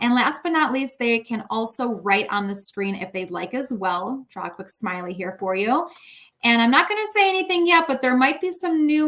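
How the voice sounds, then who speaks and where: Here a woman speaks in a high, bright and sharp voice. Her pace is moderate and her intonation lively. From US Midwest, Chicago. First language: Russian. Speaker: edtech product specialist. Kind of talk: software demo.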